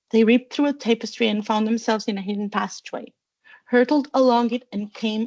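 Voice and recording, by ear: Someone reads aloud in a natural voice with fairly even intonation against a quiet background.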